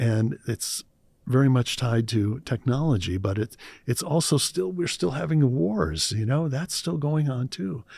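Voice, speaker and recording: In a very clean recording with a silent background, a man with a Midwestern American accent speaks very slowly at medium pitch. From Cleveland, Ohio, US Midwest. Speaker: meditation trainer and artist. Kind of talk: casual interview chat. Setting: studio.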